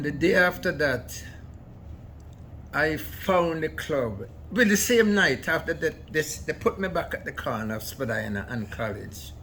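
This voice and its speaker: A man speaks at a fairly slow pace with a fairly high pitch, vocal fry, a bright, sharp tone and very wide pitch swings. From Jamaica. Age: 90s. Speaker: immigrant elder. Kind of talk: interview storytelling.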